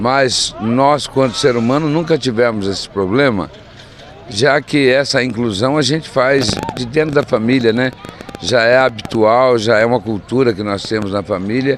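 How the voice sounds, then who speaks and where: Noticeable background noise surrounds a man speaking at a fairly slow pace. His voice is medium in pitch with ordinary pitch variation. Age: 60s. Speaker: mayor. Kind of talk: interview. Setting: outdoors.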